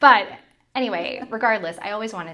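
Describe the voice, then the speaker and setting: This is a woman's voice with a bright, sharp tone. Room echo can be heard. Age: 30s. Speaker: former TV meteorologist turned content creator. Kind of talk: casual chat.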